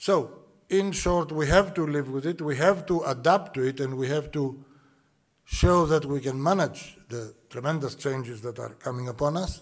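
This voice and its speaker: Greek accent, moderate pace, ordinary pitch variation, quiet background. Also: man. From Greece. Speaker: shipping executive. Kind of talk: welcome address. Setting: conference hall with audience. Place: hall. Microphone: podium.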